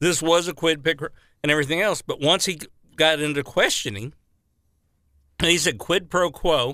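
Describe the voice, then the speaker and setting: The recording is very clean, with a silent background. A man speaks with a fairly high pitch and a bright, sharp tone. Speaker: radio co-host. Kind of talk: casual talk radio banter.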